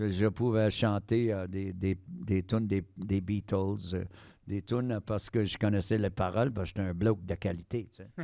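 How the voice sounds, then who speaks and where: In a Quebec accent, a man speaks at a moderate pace with a fairly low pitch and a dark, mellow tone. His intonation stays fairly even over a quiet background. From Quebec, Eastern Townships (Sherbrooke). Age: 60s. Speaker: harmonica player. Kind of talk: casual interview chat.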